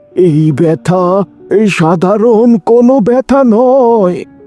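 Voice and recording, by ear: A man performs a cartoonish character voice, high in pitch and at a very slow pace. The sound is dry and close with no echo, with faint music in the background.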